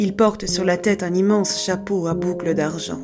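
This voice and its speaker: With music playing in the background, the voice shows ordinary pitch variation. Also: woman. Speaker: voice actress and storyteller. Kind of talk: scary folk tale narration.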